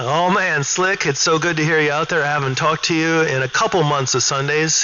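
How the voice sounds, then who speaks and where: A man with an American accent at a fairly quick pace, fairly high pitch, fairly even intonation, hardly any pauses and very even loudness, over noticeable background noise. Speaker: CB radio operator and streamer. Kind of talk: CB radio chat. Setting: CB radio transmission.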